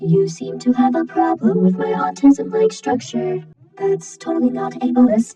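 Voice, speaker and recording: A put-on character voice talks at a moderate pace. Faint music plays in the background. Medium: fan dub. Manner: deadpan.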